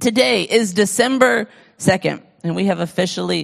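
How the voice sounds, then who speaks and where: Recorded very cleanly against a silent background, a woman speaks at a medium pitch. Her pace is fairly slow, with vocal fry. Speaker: pastor. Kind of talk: sermon. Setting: church. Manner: animated.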